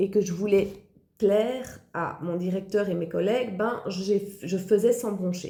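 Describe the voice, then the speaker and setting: Her voice is dark and mellow, at a medium pitch with ordinary pitch variation, and the woman speaks at a fairly slow pace. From Belgium. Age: 40s. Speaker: online entrepreneur, former occupational therapist. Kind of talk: personal testimony.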